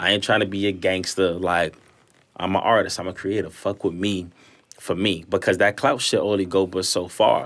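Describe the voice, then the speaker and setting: Very deep and low, a man's voice comes with a New York accent and a flat, monotone delivery at a moderate pace. The recording is very clean, with a silent background. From New York, East New York (Brooklyn). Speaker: recording artist and fashion designer. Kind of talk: casual podcast chat.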